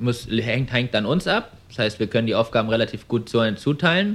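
A man with a plain, everyday voice talks at a medium pitch with ordinary pitch variation. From Germany, Frankfurt am Main. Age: 20s. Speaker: young entrepreneur, car dealer. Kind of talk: interview. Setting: showroom.

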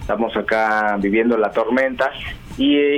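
Very slow speech from a man, with noticeable noise in the background. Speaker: journalist and sociologist. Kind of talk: radio interview.

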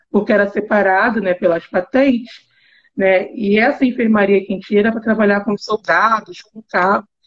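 Somewhat breathy, a woman speaks at medium pitch and a moderate pace. Her intonation stays fairly even. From Rio de Janeiro. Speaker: university professor. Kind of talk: casual chat.

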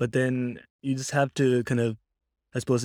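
A man with a Cork accent talks at a moderate pace in a dark, mellow tone. His intonation is monotone and flat, and the sound is dry and close with no echo. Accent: Cork Irish. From Ireland, Cork. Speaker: software engineer. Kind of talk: casual chat.

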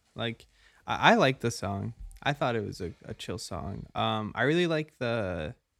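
Recorded very cleanly against a silent background, a man at medium pitch talks fairly slowly with vocal fry and very wide pitch swings, the sound dry and close with no echo. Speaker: student sound technician, podcast co-host. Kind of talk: casual chat.

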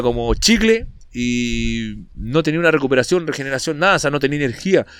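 Very wide swings in pitch, with a Chilean accent. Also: man. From northern Chile, Antofagasta. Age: 30s. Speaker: bodybuilder and fitness coach. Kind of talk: casual interview chat.

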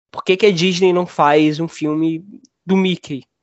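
This man speaks with a high pitch. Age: 20s. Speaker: film critic. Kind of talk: casual chat.

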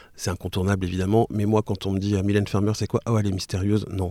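Dark and mellow in tone, a man speaks very fast at a fairly low pitch in a flat monotone, recorded very cleanly against a silent background with a dry, close sound and no echo. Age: 40s. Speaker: podcaster. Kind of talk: casual interview chat. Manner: hesitant, many fillers and repetitions.

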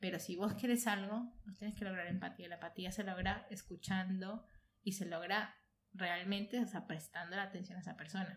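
A woman's voice comes through somewhat breathy. Her intonation stays fairly even. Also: medium pitch for a woman, moderate pace. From Colombia, Bogotá. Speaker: audiovisual producer. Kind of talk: casual chat. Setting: at home sharing mate.

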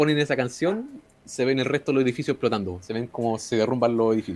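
Very fast speech with ordinary pitch variation in a Chilean accent. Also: man. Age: 20s. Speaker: podcast co-host. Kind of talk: casual chat, film review.

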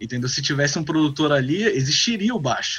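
Music plays in the background as the speaker moves at a fairly quick pace with lively intonation. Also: man. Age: 30s. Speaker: guitarist and music producer. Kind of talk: casual chat.

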